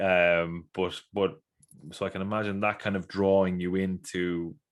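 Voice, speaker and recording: A man speaks with an Irish accent at a very deep, low pitch. His intonation stays fairly even. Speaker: podcast host. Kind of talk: podcast interview. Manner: halting, many fillers and repeats.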